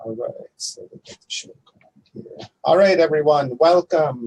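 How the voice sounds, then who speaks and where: At a fairly slow pace, a man speaks with a fairly high, somewhat breathy voice and ordinary pitch variation. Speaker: online talk show host. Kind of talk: casual chat. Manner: halting, many fillers.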